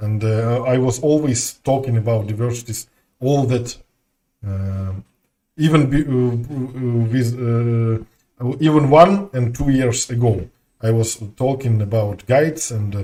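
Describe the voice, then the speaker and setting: Somewhat breathy and fairly slow, a man with a Russian accent speaks in a medium pitch with a dark, mellow tone. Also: ordinary pitch variation. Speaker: game streamer. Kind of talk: casual chat. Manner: halting.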